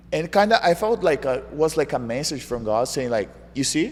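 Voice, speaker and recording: A man at a fairly high pitch with a Brazilian Portuguese accent. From Brazil, João Pessoa. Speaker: jiu-jitsu world champion. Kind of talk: interview. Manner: animated.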